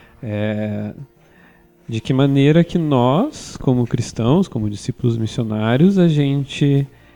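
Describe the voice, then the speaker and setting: Music plays in the background as a man speaks at a medium pitch. His pace is very slow, with ordinary pitch variation. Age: 20s. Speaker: journalist and theologian. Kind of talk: casual chat.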